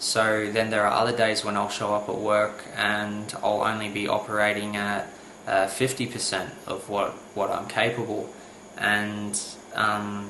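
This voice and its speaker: The delivery is flat and monotone, with audible room echo and noticeable background noise. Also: man. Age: 20s. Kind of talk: personal testimony to camera. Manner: halting, many fillers.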